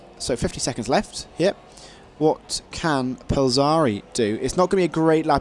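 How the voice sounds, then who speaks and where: A man talks with a Welsh accent. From Wales. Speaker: esports race commentator. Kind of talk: live commentary. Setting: livestream, solo commentary. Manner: frequent fillers, halting; animated.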